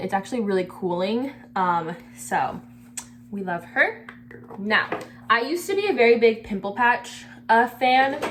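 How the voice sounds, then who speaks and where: Over noticeable background noise, a woman speaks with lively intonation and long, frequent pauses. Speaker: beauty vlogger. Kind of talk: casual skincare tutorial. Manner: halting, stutters on camera; casual, lots of filler words.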